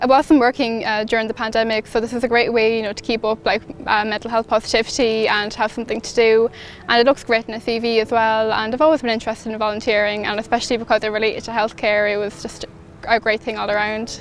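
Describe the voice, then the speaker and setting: Over noticeable background noise, a woman with an Irish Midlands accent and a fairly high pitch talks at a very fast pace in a monotone, flat intonation. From Ireland, County Laois. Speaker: midwifery student, volunteer. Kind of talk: recorded testimonial.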